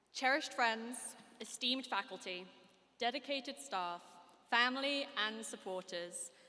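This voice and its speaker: Here a woman speaks in a British accent at a fairly slow pace. Her tone is bright and sharp, and her intonation lively. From United Kingdom. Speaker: graduating student speaker. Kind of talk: commencement speech. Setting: stage with audience. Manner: formal.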